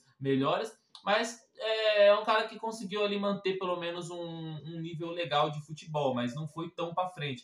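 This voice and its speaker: With a Brazilian accent, a man speaks at a moderate pace using lively intonation. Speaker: football reaction youtuber. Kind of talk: casual reaction commentary. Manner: casual, conversational.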